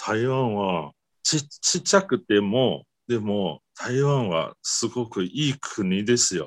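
With a Mandarin Chinese accent, a man speaks at a very slow pace with lively intonation, recorded in a dry, close sound with no echo. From Taiwan. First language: Mandarin Chinese (speaking Japanese). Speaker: guest from abroad. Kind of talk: casual interview chat. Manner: halting, many fillers.

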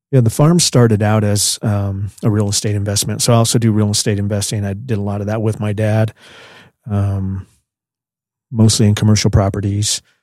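In an American accent, a man with a fairly low, dark and mellow voice speaks fairly quickly with fairly even intonation on a very clean recording with a silent background. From northern Colorado, US. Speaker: construction company owner. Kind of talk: interview conversation.

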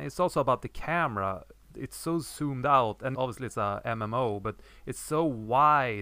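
A man's medium-pitched voice, bright and sharp in tone, at a moderate pace with ordinary pitch variation, in a very clean recording with a silent background. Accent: non-native. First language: not English. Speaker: podcast co-host, game developer. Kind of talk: casual podcast chat.

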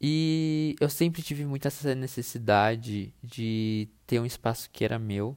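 A man at a medium pitch with ordinary pitch variation, at a fairly slow pace, on a very clean recording with a silent background. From Brazil, interior of São Paulo state (Itu). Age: 20s. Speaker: podcast host, content designer. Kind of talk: casual solo monologue. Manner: hesitant, many fillers.

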